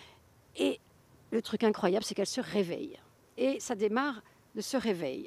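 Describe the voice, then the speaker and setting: Lively intonation and big swings in loudness mark this fairly slow delivery, with long, frequent pauses. The recording is very clean, with a silent background. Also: woman, fairly high pitch for a woman. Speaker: author. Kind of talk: interview. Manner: halting.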